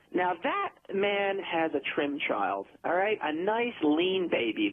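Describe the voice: Using a put-on character voice, a man speaks slowly at a high pitch with big pitch swings.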